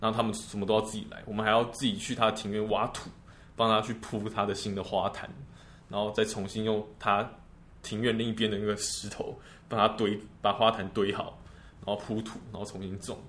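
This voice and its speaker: Speech comes at a fairly quick pace, delivered with monotone, flat intonation. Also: man, fairly low pitch for a man. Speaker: medical student. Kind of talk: casual chat.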